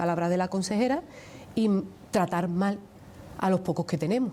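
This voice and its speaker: In an Andalusian accent, the voice sounds somewhat breathy and dark and mellow in tone, with ordinary pitch variation. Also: woman. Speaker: trade union leader. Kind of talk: TV interview.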